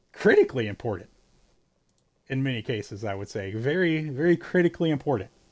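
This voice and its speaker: This man speaks at a very fast pace in an American accent. His pitch swings very widely. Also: long, frequent pauses, big swings in loudness, very clean recording, silent background. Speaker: video game streamer. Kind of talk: casual live-stream chat. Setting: live stream. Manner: halting, with stammered restarts.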